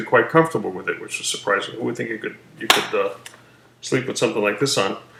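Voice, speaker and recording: A man talks while noticeable noise can be heard in the background. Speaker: surgery patient vlogger. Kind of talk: personal video diary. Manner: halting.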